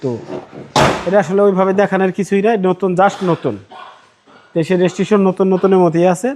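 This man's voice sits high, with fairly even intonation. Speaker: used car dealer. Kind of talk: sales pitch.

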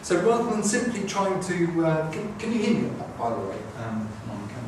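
Big pitch swings run through fairly quick speech, with clear background noise and audible room echo. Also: man, fairly high pitch for a man.

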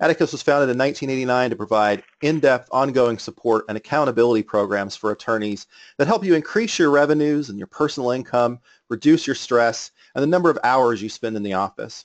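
A man with an ordinary speaking voice talks at medium pitch with ordinary pitch variation, recorded with a dry, close sound with no echo against a quiet background. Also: fairly quick pace. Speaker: webinar organizer. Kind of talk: webinar introduction. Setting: webinar call.

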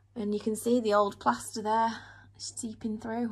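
The voice moves at a fairly slow pace with little pitch movement and a slightly husky edge. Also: woman, fairly high pitch for a woman.

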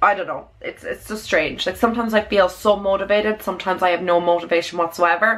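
With an Irish accent, a woman talks at a fairly quick pace. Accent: Irish (Louth). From Ireland, Dundalk (County Louth); Ireland. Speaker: beauty vlogger. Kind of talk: casual vlog chat. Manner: animated. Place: home room. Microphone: phone near.

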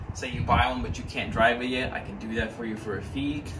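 Noticeable background noise is heard. Over it, a man talks. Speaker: driving instructor advertising lessons. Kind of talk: casual promotional talk. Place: garage. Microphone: camera far.

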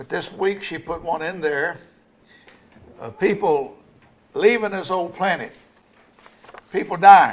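The man's voice is high in pitch, with ordinary variation. He talks at a fairly slow pace. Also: big swings in loudness. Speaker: pastor. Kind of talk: sermon. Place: church. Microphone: podium.

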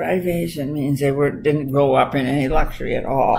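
A woman's very deep, low voice, fairly quick in pace, with ordinary pitch variation. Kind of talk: casual family conversation. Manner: frail, aged elderly woman's voice. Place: home room. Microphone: webcam.

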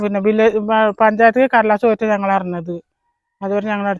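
Recorded with a dry, close sound and no echo, a man speaks at a high pitch. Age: old. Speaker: local resident. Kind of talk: news interview.

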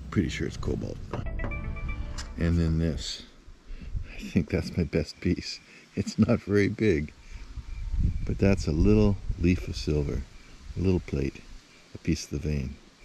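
A man speaks in a very deep, low voice at a fairly slow pace, with long, frequent pauses, dry sound without echo, and music playing behind him. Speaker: rock hound vlogger. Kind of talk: casual vlog chat. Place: open country. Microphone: phone near.

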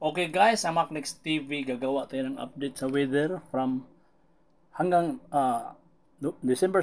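A man's unremarkable speaking voice with ordinary pitch variation. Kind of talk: weather report. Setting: screen-share video with voiceover. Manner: casual, conversational Taglish weather explainer, talks viewers through the map.

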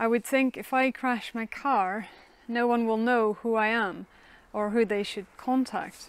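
A woman speaks with a Dutch accent in a fairly high voice. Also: dry sound with no echo. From Netherlands. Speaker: minister. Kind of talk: sermon. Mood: calm, reflective. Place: garden. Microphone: lapel.

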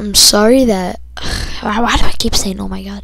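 Noticeable background noise runs under speech that moves very slowly. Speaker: gaming YouTuber. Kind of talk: gameplay commentary. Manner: casual, rambling with fillers.

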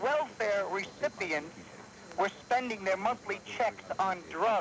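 Against noticeable background noise, a high-pitched man speaks at a moderate pace. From New York. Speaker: talk radio caller; radio caller. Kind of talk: call-in to talk radio. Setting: phone line. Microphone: phone line.

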